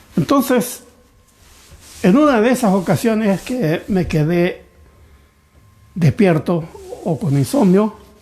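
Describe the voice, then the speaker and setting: Speaking at a very slow pace with long, frequent pauses, a man uses a high pitch and very wide pitch swings. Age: 80s+. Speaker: pastor. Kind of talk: sermon.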